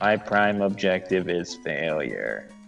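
A man's very deep, low put-on character voice at a fairly slow pace, with clear music in the background. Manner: deadpan, gloomy.

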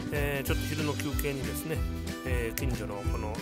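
Loud music plays in the background while the speaker goes at a moderate pace, the sound dry with no echo. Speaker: vlogger. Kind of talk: casual video voice-over narration. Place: waterside. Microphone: phone near.

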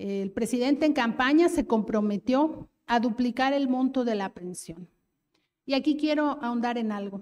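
A woman with a Mexico City accent speaks fairly slowly with ordinary pitch variation against a quiet background. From Mexico City (Iztapalapa). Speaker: government official; panelist. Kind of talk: political speech. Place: hall. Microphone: handheld.

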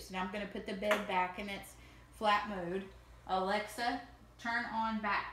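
Noticeable background noise, a woman, a moderate pace. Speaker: user demonstrating accessible smart bed. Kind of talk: casual demonstration and personal account.

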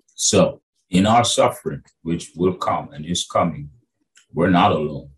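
A man speaking at a fairly slow pace against a quiet background. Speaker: bible teacher. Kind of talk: sermon-style teaching. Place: home room. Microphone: webcam.

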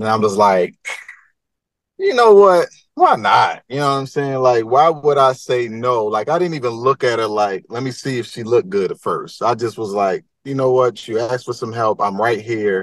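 A man's voice at medium pitch and moderate pace, with ordinary pitch variation, a dry sound with no echo, and a quiet background. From Baltimore, Maryland. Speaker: rapper; guest. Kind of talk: casual chat. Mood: relaxed, storytelling, animated. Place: car. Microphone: video call.

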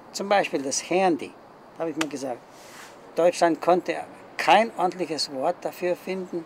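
Long, frequent pauses break up a man's high-pitched speech, delivered at a moderate pace with ordinary pitch variation. Light background noise can be heard. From Germany. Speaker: retired factory worker; interviewee. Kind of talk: interview. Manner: halting. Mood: calm, reflective. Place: garden.

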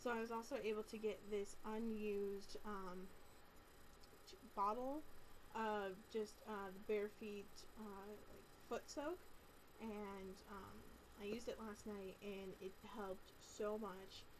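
A woman speaks at a very slow pace with long, frequent pauses and fairly even intonation. Light background noise is present. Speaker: vlogger. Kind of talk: casual vlog chat. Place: home room. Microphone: webcam.

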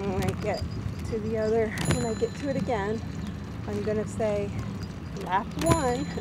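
Loud background noise surrounds a woman talking at a fairly slow pace, her voice dry with no echo. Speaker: vlogger riding her bike for exercise. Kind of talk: casual vlog chat. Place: bicycle. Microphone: phone near.

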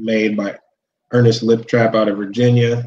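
A man in an American accent, flat and monotone, at a moderate pace over light background noise. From Cleveland, Ohio; Ohio. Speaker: monster truck driver; guest. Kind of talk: casual chat. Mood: relaxed, smiling.

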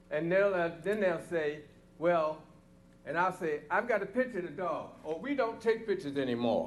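Audible room echo carries a man's high-pitched voice at a moderate pace with lively intonation. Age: 80s+. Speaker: resident speaking at public comment. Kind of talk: public comment at council meeting. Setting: council chamber.

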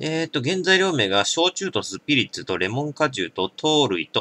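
A man's bright, sharp tone with vocal fry and very wide pitch swings, in a dry sound with no echo. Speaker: drinking vlogger. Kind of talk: casual product review chat. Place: home room. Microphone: camera far.

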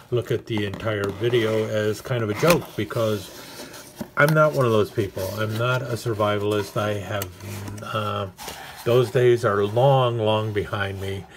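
Through noticeable background noise, a man speaks slowly in a fairly low voice with fairly even intonation. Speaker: knife hobbyist reviewer. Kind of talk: casual unboxing commentary.

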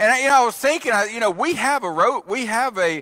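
A man speaks in a raised, projected voice at a fairly quick pace. The background is quiet. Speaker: preacher. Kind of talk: sermon. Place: church.

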